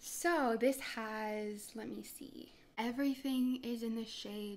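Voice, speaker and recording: Her pitch is fairly high, with ordinary variation. This woman speaks at a very slow pace. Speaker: beauty and lifestyle vlogger. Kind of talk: casual vlog talk to camera. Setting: home setup with ring light and tripod. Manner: soft-spoken, quiet talker; chatty, bubbly.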